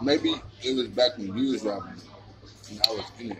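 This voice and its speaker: Clear background music behind a man's voice. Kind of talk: casual chat over a meal. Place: cafe. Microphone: phone near.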